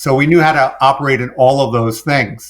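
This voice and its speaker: With a New York accent, a man speaks at a moderate pace and a fairly high pitch, using ordinary pitch variation. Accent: New York accent, toned down. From New York City. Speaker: business coach and former contractor. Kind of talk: podcast interview.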